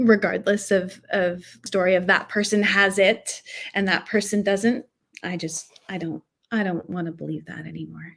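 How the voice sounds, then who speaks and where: At a moderate pace and medium pitch, a woman speaks with vocal fry, fairly even intonation and big swings in loudness. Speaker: actress and hypnotherapist. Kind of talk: casual chat. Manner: hesitant, many filler words.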